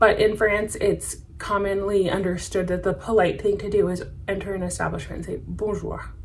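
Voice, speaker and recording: A woman with a medium-pitched voice talks over noticeable background noise. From United States. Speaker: French teacher and travel vlogger. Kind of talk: tutorial.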